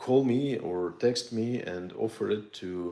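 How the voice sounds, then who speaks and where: This man has a Russian accent. His intonation stays fairly even. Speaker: military antiques collector and dealer. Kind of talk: casual video monologue to viewers. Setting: home studio. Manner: halting with many fillers.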